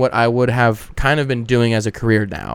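A man talks at a fairly quick pace with a Southwestern US accent. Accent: American (Southwest). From Arizona, Avondale. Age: 20s. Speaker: comedian. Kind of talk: casual chat.

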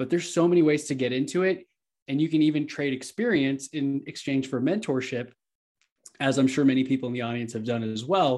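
A man with a plain, everyday voice and an American accent speaks at a fairly quick pace, with a fairly high pitch and ordinary pitch variation. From Texas, Houston. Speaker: real estate entrepreneur and podcast host. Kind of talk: casual interview.

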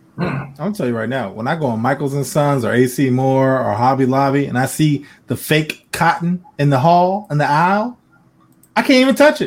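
Using a normal speaking voice, a man with a fairly high pitch talks at a fairly quick pace with lively intonation. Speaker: podcast host. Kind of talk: casual banter, comedic chat. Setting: live stream, studio. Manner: loud, joking.

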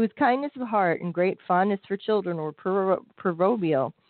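Ordinary pitch variation in plain reading aloud

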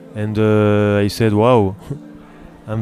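A man's fairly low voice with a French accent. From France. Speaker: pastry chef. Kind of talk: interview. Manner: halting.

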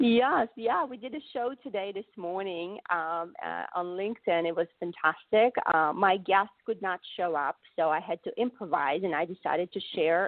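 With a non-native accent, a woman speaks at a moderate pace. Her pitch is fairly low and her intonation lively. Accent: cute foreign. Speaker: leadership coach and show host. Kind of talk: interview.

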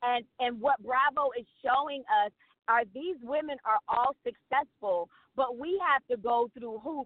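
High pitch from a woman, with ordinary pitch variation. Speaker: pastor and TV participant. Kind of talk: casual interview. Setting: phone call.

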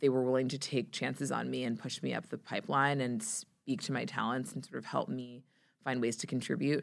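Vocal fry runs through this fairly quick delivery, which has ordinary pitch variation on a very clean recording with a silent background. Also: woman. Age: 30s. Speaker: PR executive. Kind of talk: interview. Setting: studio.

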